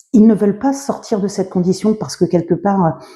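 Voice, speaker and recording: A woman's medium-pitched voice comes across dark, mellow and somewhat breathy, with ordinary pitch variation. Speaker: book reviewer / video blogger. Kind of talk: casual book review monologue. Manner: halting, many fillers and self-corrections.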